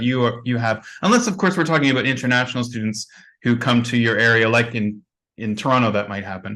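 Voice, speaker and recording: Over a quiet background, a man with an unremarkable speaking voice talks at a medium pitch with ordinary pitch variation. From Canada. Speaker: teacher trainer, conference speaker. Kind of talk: Q&A answer at online conference.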